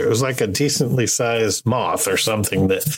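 With audible room echo, a man speaks at a moderate pace in a medium-pitched voice with ordinary pitch variation. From Marshall Islands, then Birmingham. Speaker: travel podcast co-host. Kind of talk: casual chat.

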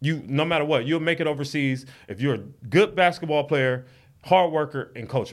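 A man's fairly high-pitched voice moves along at a fairly quick pace. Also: ordinary pitch variation. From Long Beach, California. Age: 30s. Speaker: former pro basketball player and R&B artist. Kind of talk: casual chat.

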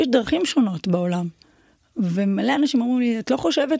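A woman talks in a fairly high pitch that swings very widely. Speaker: Thai boxing champion and coach. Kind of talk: casual interview.

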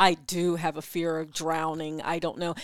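Speaking with a slight East Coast American accent, a woman uses a fairly low pitch. The recording is very clean, with a silent background. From US East Coast. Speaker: podcast co-host, sex educator. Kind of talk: casual chat. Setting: live stream.

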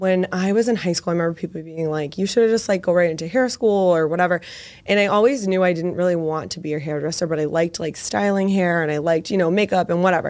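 Her pitch fairly low and ordinary in its variation, a woman talks at a very fast pace. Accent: American. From Massachusetts, Boston area (Medford). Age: 20s. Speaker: makeup artist. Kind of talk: casual interview with tutorial explanations.

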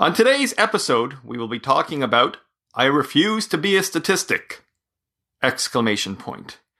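A man's bright, sharp tone carries vocal fry and very wide pitch swings. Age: 40s. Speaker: solo podcaster on mental health. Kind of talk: personal monologue.

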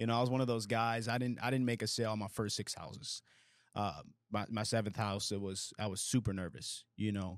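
A man speaks at a fairly quick pace in a fairly low voice with fairly even intonation, an unremarkable speaking voice. The recording is very clean, with a silent background. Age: 20s. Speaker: insurance agency owner. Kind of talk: casual chat.

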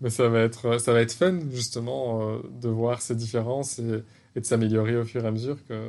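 The intonation remains fairly even. It is an ordinary speaking voice at a moderate pace. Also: man. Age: 30s. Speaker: pastry podcast co-host. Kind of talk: casual chat.

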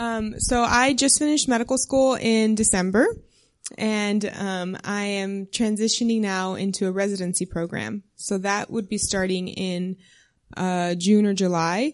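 In a quiet background, a woman with an unremarkable speaking voice speaks in an American accent at a medium pitch. Her pace is fairly slow, with ordinary pitch variation. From South Texas. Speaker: missionary and new doctor. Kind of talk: interview testimony in church.

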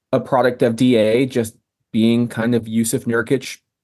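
Fairly even in intonation, a man speaks at medium pitch in an unremarkable speaking voice. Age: 30s. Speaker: sports podcast host. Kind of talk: casual chat.

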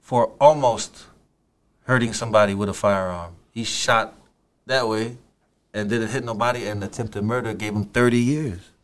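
With a Samoan accent, a man of medium pitch talks at a moderate pace with fairly even intonation on a very clean recording with a silent background. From Samoa, Apia. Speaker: rapper. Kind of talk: casual interview.

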